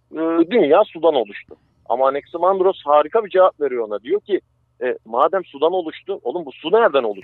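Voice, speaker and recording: Fairly quick and high-pitched, a man speaks with lively intonation and big swings in loudness. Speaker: science segment guest. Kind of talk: lecture; casual chat. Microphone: connection dropped.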